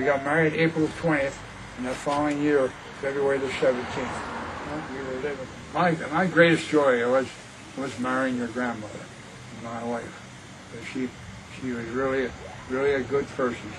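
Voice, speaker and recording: Noticeable background noise runs under a man's voice. He speaks at a medium pitch with long, frequent pauses. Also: fairly even intonation, moderate pace. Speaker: grandfather. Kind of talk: interview answer.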